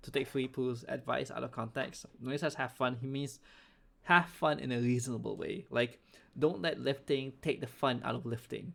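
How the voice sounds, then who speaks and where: This is an ordinary speaking voice from a man at a medium pitch. He talks at a moderate pace with ordinary pitch variation. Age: 20s. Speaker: podcast host. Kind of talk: casual podcast chat.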